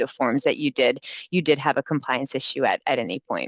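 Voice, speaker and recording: Against a quiet background, a woman speaks in a very deep, low pitch. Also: dry, close sound with no echo. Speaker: immigration lawyer. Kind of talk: webinar presentation. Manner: fast; hesitant, many fillers.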